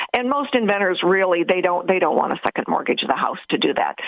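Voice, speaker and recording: Noticeable background noise sits behind a woman's medium-pitched voice. She talks very fast with lively intonation. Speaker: inventor advisor and radio co-host. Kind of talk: radio talk show conversation.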